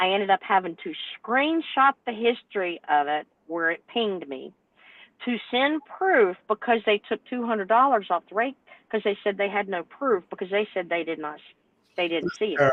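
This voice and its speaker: A woman with a Southern US accent, medium in pitch, lively in intonation and moderate in pace. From North Carolina. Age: 60s. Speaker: owner-operator truck driver. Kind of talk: panel discussion. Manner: animated.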